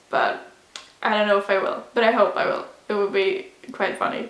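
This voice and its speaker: A woman speaks at a fairly high pitch. There is noticeable background noise and audible room echo. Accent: Swedish. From Sweden. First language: Swedish. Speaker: vlogger. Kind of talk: casual sit-down vlog. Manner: casual, hesitant with fillers.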